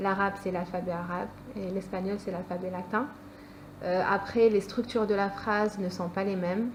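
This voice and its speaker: A woman speaks at a moderate pace with monotone, flat intonation. Noticeable background noise sits behind her. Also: medium pitch for a woman. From France. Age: 20s. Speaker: student. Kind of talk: interview. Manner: hesitant.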